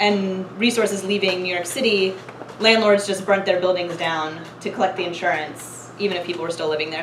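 A woman talks at a fairly quick pace with fairly even intonation. Audible room echo and light background noise are present. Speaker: presenter. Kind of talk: lecture. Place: classroom. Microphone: camera far.

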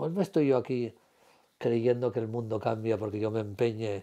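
A man speaks with a dark, mellow tone at a moderate pace. The background is quiet. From Asturias, Spain. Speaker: retired civil servant, former radio presenter. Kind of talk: interview answer. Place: home room. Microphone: lapel.

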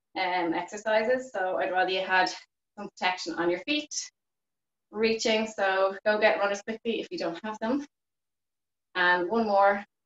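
Long, frequent pauses, ordinary pitch variation and audible room echo. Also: woman, moderate pace. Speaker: fitness instructor. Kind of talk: live online exercise class instruction. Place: home room. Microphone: video call.

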